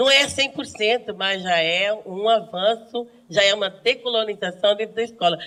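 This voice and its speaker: A woman talks at a fairly slow pace. Her pitch sits fairly high. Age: 60s. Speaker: schoolteacher. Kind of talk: group discussion. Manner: animated.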